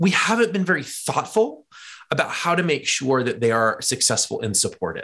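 The voice has an energetic tone and lively intonation. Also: man. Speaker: education technology executive and author. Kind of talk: interview.

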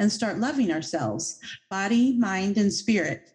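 Somewhat breathy speech in a dark, mellow tone, at a moderate pace with lively intonation. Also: woman. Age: 50s. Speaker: podcast host. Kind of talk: casual interview chat.

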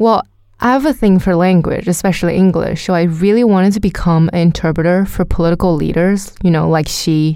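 A woman with a Chinese accent talks at a fairly quick pace in a dark, mellow tone. Her loudness stays very even, and her pitch varies in an ordinary way. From China, Jiangsu. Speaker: podcast co-host. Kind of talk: narration and casual chat.

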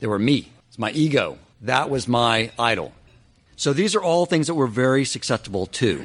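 Over a quiet background, a man speaks in a normal speaking voice at a moderate pace with lively intonation. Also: medium pitch for a man. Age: 40s. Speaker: podcast host giving Torah talks. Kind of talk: religious lecture.

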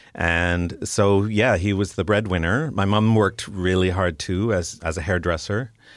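A man speaks at a moderate pace with hardly any pauses, in a fairly low pitch and a Canadian accent. It's a plain, everyday voice with very even loudness, recorded very cleanly against a silent background. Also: ordinary pitch variation. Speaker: illustrator and cartoonist. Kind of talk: interview. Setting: studio.

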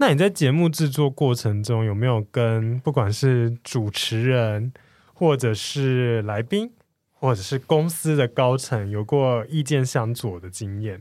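Speaking with a Taiwanese accent, a man holds a medium pitch with ordinary pitch variation at a fairly slow pace. The recording is very clean, with a silent background. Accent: Taiwanese Mandarin. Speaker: podcast host. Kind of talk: casual interview chat.

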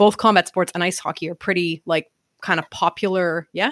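In a very clean recording with a silent background and a dry, close sound with no echo, a woman with a Montreal accent speaks at medium pitch and a moderate pace. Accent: Montreal Canadian English. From Canada, Montreal. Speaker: real estate investor and coach. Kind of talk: interview conversation.

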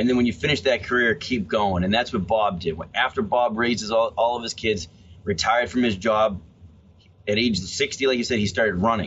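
Speaking at a fairly quick pace, a man has a normal speaking voice of medium pitch with ordinary pitch variation. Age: 30s. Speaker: author and police officer. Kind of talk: interview. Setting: video call.

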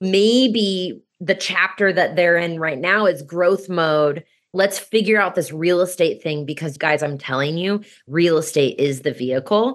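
Speaking at a fairly slow pace with an American accent, a woman has a fairly low pitch and ordinary pitch variation. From US Midwest, Kansas City. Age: 30s. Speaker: real estate investor and coach. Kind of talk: podcast interview.

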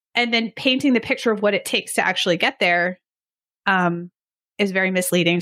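Speaking at a very fast pace, a woman uses a medium pitch. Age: 40s. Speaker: sports nutritionist and lifting coach. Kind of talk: podcast interview.

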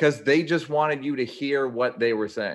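This man's pitch is medium. He speaks at a moderate pace. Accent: Philadelphia. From Philadelphia, US. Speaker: actor. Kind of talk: casual chat. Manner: loud.

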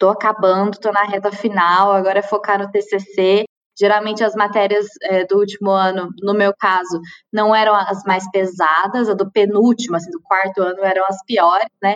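A woman of medium pitch talks at a moderate pace in a monotone, flat intonation. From Minas Gerais, Brazil (Uberlândia). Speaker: chemical engineer working in automation. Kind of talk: casual interview.

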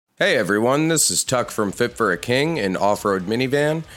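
A man's pitch swings very widely as he talks at a moderate speed, with noticeable background noise behind him. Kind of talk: dramatic narration, storytelling. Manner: hushed, gripping, vivid present-tense storytelling with a wry, weary, fatalistic tone.

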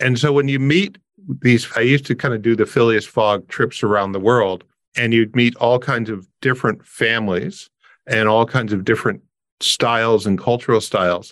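In a very clean recording with a silent background, a man with a Canadian accent uses a normal speaking voice at medium pitch and a moderate pace, with ordinary pitch variation. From Canada (Windsor, Ontario). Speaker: tax and immigration advisor. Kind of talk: interview.

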